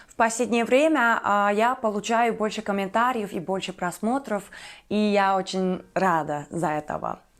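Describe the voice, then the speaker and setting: A woman with a Turkish accent, fairly high in pitch, fairly slow, with ordinary pitch variation. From Turkey. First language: Turkish (speaking Russian). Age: 20s. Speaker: YouTuber. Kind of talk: casual vlog monologue. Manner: hesitant, many fillers.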